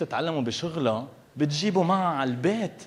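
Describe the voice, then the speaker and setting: With a Lebanese accent, a man talks in very wide pitch swings. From Lebanon. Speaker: stand-up comedian. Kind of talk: live stand-up comedy.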